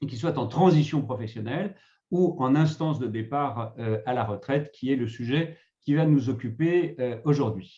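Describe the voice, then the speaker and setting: At a fairly slow pace, a man talks in a somewhat breathy, dark, mellow tone at a medium pitch with ordinary pitch variation. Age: 60s. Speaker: retirement negotiation consultant, former HR director. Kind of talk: webinar presentation. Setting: online webinar.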